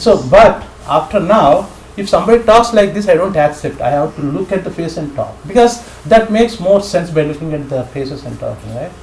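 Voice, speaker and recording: A man's high-pitched, fairly quick voice with lively intonation over noticeable background noise. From India. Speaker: scripture class teacher. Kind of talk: casual chat.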